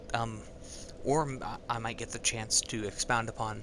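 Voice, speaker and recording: Speaking at a fairly slow pace, a man uses a fairly low pitch and monotone, flat intonation. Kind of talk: reading fantasy excerpt aloud, interspersed with asides. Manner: hesitant, stuttering, many filler words.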